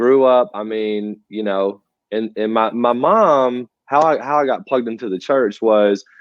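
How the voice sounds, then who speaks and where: With a Southern US accent, a man talks at a medium pitch with ordinary pitch variation. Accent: Southern US (Georgia). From US South, rural north Georgia. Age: 30s. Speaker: church drummer, musician. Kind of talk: casual interview.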